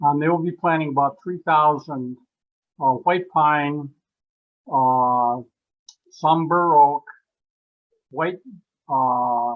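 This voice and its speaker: A man with a fairly high voice talks at a very slow pace, leaving long, frequent pauses, his intonation fairly even. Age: 80s+. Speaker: landowner and angler, chapter member. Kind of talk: online meeting discussion. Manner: halting, many fillers.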